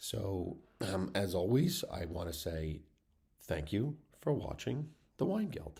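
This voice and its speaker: A man's very deep, low voice, dark, mellow and somewhat breathy, with very wide pitch swings, a very slow pace and long, frequent pauses. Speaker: wine educator. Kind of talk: educational talk to camera. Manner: casual, with fillers.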